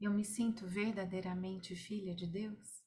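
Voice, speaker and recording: A woman speaks in a soft-spoken manner. Her voice is somewhat breathy. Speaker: Bible study leader. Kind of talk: online Bible study. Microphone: too quiet.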